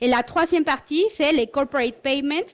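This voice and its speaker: A woman speaks with a slight Mexican accent in a high voice with ordinary pitch variation, recorded very cleanly against a silent background. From Mexico. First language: Spanish (speaking French). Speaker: corporate learning and development head. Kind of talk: conference talk.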